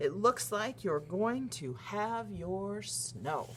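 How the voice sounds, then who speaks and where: In a put-on character voice, a woman speaks at a very deep, low pitch and a very slow pace. Clear background noise can be heard. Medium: read story.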